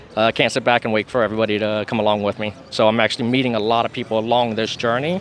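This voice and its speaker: A man talking very fast over noticeable background noise. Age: 40s. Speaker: traveler. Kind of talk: casual interview.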